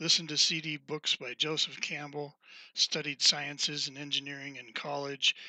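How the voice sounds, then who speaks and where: With an American accent, a man speaks at a moderate pace in a fairly high pitch, his bright, sharp tone flat and monotone against a quiet background. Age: 60s. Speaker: author reading his own text. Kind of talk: reading aloud.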